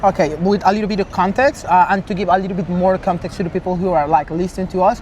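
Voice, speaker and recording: Someone with a Spanish accent talks at a very fast pace over noticeable background noise. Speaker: interviewer. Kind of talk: interview. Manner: halting.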